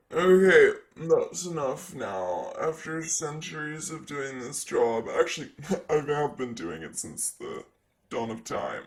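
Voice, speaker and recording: Here a man puts on a character voice at a fairly high pitch. He keeps to a fairly slow pace. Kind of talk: ASMR roleplay. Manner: sassy.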